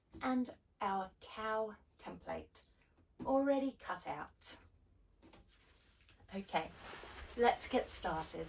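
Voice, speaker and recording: A woman's fairly high, somewhat breathy voice with lively intonation, a very slow pace and long, frequent pauses. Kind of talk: children's craft tutorial. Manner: upbeat, friendly.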